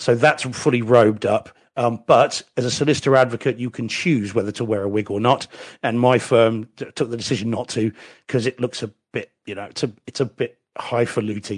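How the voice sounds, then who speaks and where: In an English accent, a man talks fairly quickly at a medium pitch with fairly even intonation, his sound dry and close with no echo. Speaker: lawyer. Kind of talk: casual chat.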